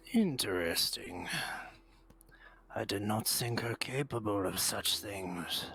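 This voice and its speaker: A man whispers in a put-on character voice. He goes at a fairly slow pace with long, frequent pauses. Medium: game stream. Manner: slow, formal, composed.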